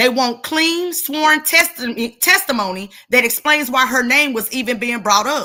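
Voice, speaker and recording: Raised and projected, a woman's high-pitched voice carries a bright, sharp tone and a passionate, animated delivery, with lively intonation at a fairly slow pace. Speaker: true crime commentator. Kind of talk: reading prepared notes in commentary. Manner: loud.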